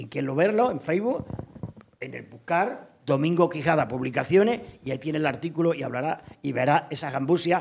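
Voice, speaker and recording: In a plain, everyday voice, a man talks at a fairly high pitch and a fairly quick pace, with lively intonation. His loudness swings a lot, and there is light background noise. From Extremadura, Spain. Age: 60s. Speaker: audience member. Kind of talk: audience comment. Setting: lecture hall with audience. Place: hall.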